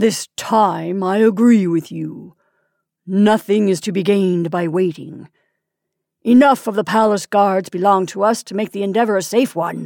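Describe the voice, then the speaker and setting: A booming, female-sounding put-on character voice at a middle pitch speaks at a moderate pace in a very clean recording with a silent background. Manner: softened by habit.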